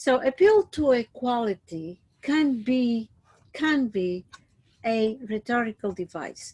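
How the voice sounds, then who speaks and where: A woman's high-pitched, very slow voice with lively intonation and a dry, close sound with no echo. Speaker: teacher. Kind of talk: lecture. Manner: hesitant with many fillers.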